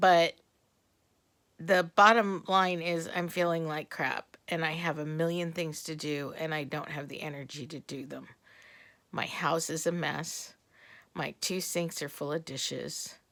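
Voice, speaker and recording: A woman with fairly low pitch and a fairly slow pace, big swings in loudness, on a very clean recording with a silent background. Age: 60s. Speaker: retired teacher, video diarist. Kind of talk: personal video diary. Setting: at home, sitting in a chair. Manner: halting.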